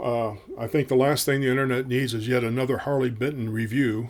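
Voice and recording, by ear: At a fairly quick pace, a man speaks with medium pitch and fairly even intonation.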